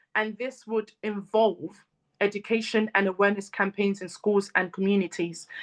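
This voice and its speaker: A woman at medium pitch, monotone and flat, at a moderate pace against a quiet background. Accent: African. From Congolese family in Britain. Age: 30s. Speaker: mental health advocate and speaker. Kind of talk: talk. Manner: many fillers like um and you know.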